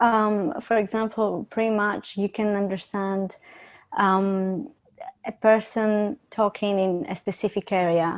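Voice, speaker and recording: Speaking very slowly at a medium pitch, a woman keeps her intonation fairly even in a dry, close sound with no echo and a quiet background. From Greece. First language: Greek. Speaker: university student. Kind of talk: casual discussion.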